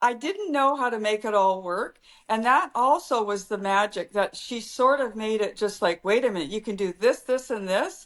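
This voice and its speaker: A woman with a Canadian accent speaks at a moderate pace in a fairly high voice. Her intonation is lively, with hardly any pauses. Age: 60s. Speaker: fashion influencer. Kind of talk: casual chat. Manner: halting.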